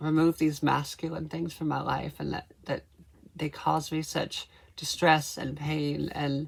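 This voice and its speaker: With vocal fry and monotone, flat intonation, a woman speaks fairly slowly in a very deep, low pitch. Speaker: transgender vlogger. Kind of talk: casual talk to camera. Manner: hesitant, many fillers.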